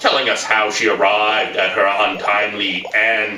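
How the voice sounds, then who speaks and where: A man puts on a character voice at medium pitch and a moderate pace, with a slight echo. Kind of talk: campy horror host showmanship. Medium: comedy sketch. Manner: theatrical, gleeful.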